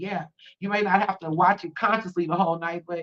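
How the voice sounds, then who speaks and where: A woman speaks with an American accent and a fairly low pitch. Her pace is fairly quick. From California, Bay Area. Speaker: spiritual livestreamer and tarot reader. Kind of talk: live tarot reading and spiritual talk. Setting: livestream. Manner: fast; animated.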